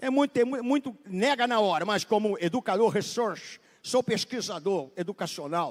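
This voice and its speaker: With an extremely high pitch, a man speaks at a moderate pace in an animated tone with lively intonation, the sound dry and close with no echo. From Brazil. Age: 70s. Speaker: pastor. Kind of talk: sermon. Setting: church.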